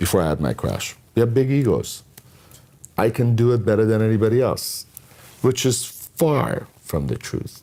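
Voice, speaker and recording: A man talks at a moderate pace, pausing long and often. His medium-pitched voice has a dark, mellow tone and ordinary pitch variation. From Iran. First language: not English (English is his third language). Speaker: entrepreneur. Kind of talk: interview.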